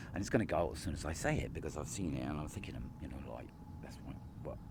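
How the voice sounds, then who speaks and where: A man's very fast speech with vocal fry, big swings in loudness and long, frequent pauses, plus audible room echo. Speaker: vlogger. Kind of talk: casual monologue to camera. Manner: halting, rambling with many fillers.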